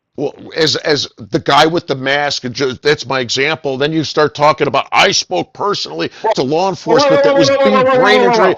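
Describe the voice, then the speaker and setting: A man speaks in a fairly high voice with vocal fry. The sound is dry and close, with no echo. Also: lively intonation, hardly any pauses. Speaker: radio host. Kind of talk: heated debate. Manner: fast; animated.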